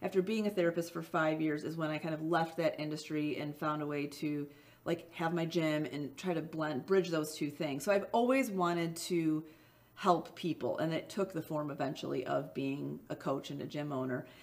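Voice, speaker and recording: At a moderate pace, a woman with a very deep, low pitch speaks with ordinary pitch variation. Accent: Midwestern. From US Midwest. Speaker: small business owner, former boxer. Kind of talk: interview answer.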